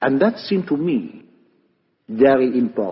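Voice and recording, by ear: Putting on a character voice, a man talks at a fairly slow pace with medium pitch, big pitch swings and a husky, rough edge.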